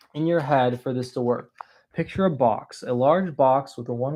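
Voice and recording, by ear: Pitch variation is ordinary. The reading aloud comes in a natural voice.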